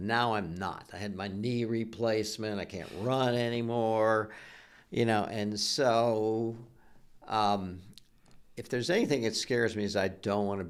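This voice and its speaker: Amid audible room echo, a man with an American accent speaks fairly slowly at a fairly low pitch, his intonation fairly even. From US Midwest, Ohio. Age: 60s. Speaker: retired business founder. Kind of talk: interview. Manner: halting, repeats words.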